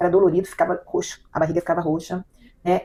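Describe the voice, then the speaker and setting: Her words come out very fast. The woman's pitch is medium. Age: 60s. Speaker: client. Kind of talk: testimony. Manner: halting.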